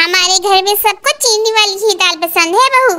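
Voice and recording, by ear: This is a cartoonish character voice that sounds squeaky. Its loudness stays very even. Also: woman, extremely high pitch for a woman, moderate pace, ordinary pitch variation.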